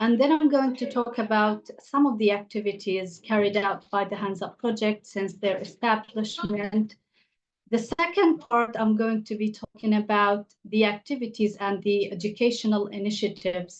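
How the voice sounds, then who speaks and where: A woman with an Arabic accent speaks at a moderate pace, her fairly high pitch showing ordinary pitch variation. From Gaza, Palestine. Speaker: English teacher. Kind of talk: panel talk. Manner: halting, with fillers.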